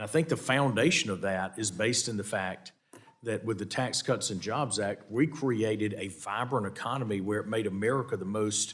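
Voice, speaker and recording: Speaking with a Southern US accent, a man talks at a moderate pace with a fairly low pitch and ordinary pitch variation. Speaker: congressman chairing hearing. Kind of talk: committee hearing questioning. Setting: congressional hearing room. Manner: halting, many repetitions.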